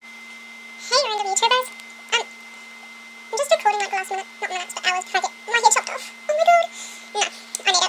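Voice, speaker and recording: A squeaky woman's voice sits at an extremely high pitch with very wide pitch swings and a fairly quick pace. Loud background noise fills the clip. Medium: solo performance. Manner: chatty, rambling, giggly.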